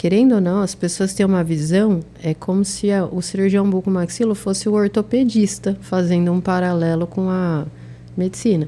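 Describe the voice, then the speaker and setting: A soft-spoken woman talks at a moderate pace and medium pitch, her tone dark and mellow and her intonation fairly even. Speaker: oral and maxillofacial surgeon. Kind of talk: interview.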